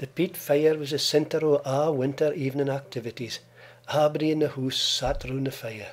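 The speaker has an Aberdeenshire accent and a fairly quick pace. Their intonation stays fairly even. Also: man, fairly high pitch for a man. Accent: Doric Scots, Aberdeenshire. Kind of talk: documentary trailer narration.

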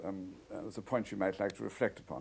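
A man speaks at a fairly quick pace. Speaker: radio interviewer. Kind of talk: radio interview. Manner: halting. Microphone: old recording.

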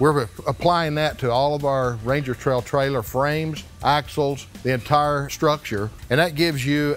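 The speaker keeps a moderate pace. Faint music plays in the background. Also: man. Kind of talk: promotional tour presentation. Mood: proud, confident. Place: factory.

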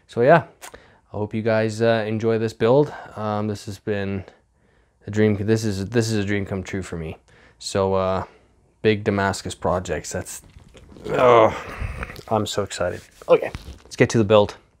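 A man's fairly low-pitched voice with fairly even intonation, at a fairly slow pace with long, frequent pauses, over a quiet background. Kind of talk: casual vlog chat. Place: workshop. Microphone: lapel.

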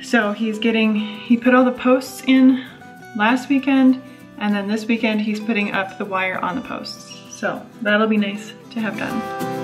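Over clear music in the background, a woman talks at a fairly slow pace with fairly even intonation. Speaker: homesteader vlogger. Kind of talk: casual vlog chat. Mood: cheerful, relaxed. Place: open country. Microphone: phone near.

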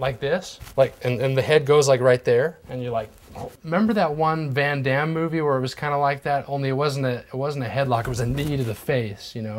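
The speech moves at a fairly quick pace with ordinary pitch variation, over light background noise. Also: man. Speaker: interviewee. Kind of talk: casual rambling chat. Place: home room.

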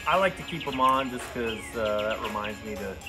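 A man speaks with clear music in the background. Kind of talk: tutorial. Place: garage. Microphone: phone near.

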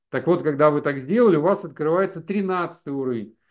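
A man's fairly high voice has lively intonation over a quiet background. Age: 50s. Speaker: network marketing presenter; presenter. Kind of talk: webinar sales presentation. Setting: live stream. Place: home room. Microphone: video call.

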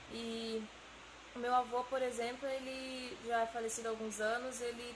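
A woman talks in a high pitch with a Brazilian accent. Noticeable background noise runs underneath. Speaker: engineering student. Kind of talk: testimony. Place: empty room.

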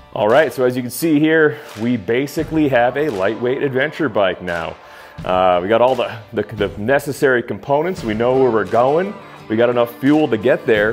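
A man's moderate-paced speech over faint background music. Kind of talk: casual vlog chat. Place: garage.

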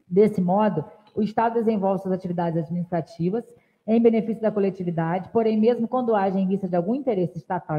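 Her voice is somewhat breathy, with ordinary pitch variation. The woman talks at a fairly quick pace. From Valença, Rio de Janeiro state, Brazil; Rio de Janeiro state, Brazil. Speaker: city councilwoman. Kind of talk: legislative session speech and reading of documents. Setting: council chamber. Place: hall. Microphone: podium.

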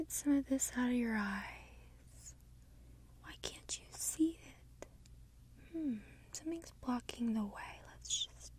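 A woman's very slow voice, full of long, frequent pauses and big swings in loudness, in a dry room with no echo. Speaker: ASMR creator. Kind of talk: soft-spoken ASMR guided session.

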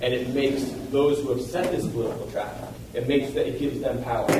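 A man talks at a fairly quick pace with fairly even intonation. Audible room echo and noticeable background noise surround him. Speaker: resident giving public comment. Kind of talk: public comment speech. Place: hall. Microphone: podium.

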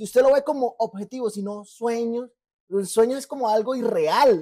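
Speech at a moderate pace on a very clean recording with a silent background. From Colombia, Barrancabermeja. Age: 30s. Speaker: podcast co-host. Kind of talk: casual chat.

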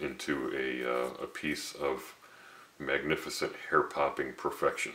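A man at a fairly slow pace, with audible room echo. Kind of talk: tutorial. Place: workshop.

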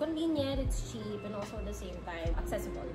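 The speaker is a woman. Music comes through clearly behind her. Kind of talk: interview answer. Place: cafe. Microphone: camera far.

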